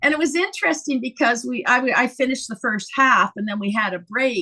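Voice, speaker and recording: A woman speaks in a raised, projected voice at a high pitch, her bright, sharp tone carried by lively intonation at a fairly quick pace. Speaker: stand-up comic and comedy teacher. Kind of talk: interview. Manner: animated.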